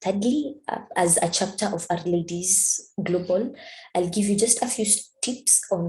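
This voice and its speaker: This woman's voice sits at a medium pitch, somewhat breathy and dark, mellow in tone. She keeps a moderate pace. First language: not English. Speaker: statistics student and community organizer. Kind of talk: presentation. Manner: halting.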